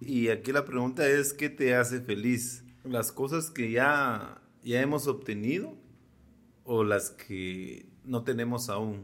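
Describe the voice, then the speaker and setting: A man speaks at a very slow pace, his pitch varying in an ordinary way. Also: medium pitch for a man. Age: 40s. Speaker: podcast co-host. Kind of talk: casual chat.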